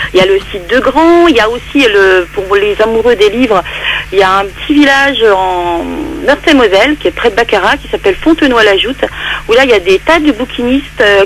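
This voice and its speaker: Fairly high-pitched and quick, a woman talks with lively intonation in an eastern French accent. Noticeable noise sits in the background. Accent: eastern French (Vosges), pronounced. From Lorraine, Vosges area, eastern France. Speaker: poet. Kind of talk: radio interview.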